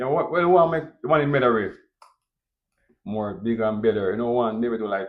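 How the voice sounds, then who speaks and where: In a strong Jamaican accent, the speaker goes at a fairly quick pace with lively intonation and long, frequent pauses. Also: man, medium pitch for a man. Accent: thick Jamaican. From Jamaica, Kingston. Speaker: restaurant owner. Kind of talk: interview.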